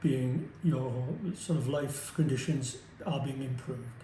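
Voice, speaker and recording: A man at a fairly slow pace, fairly even in intonation, with audible room echo. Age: 70s. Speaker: surgery patient. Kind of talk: testimony. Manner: halting.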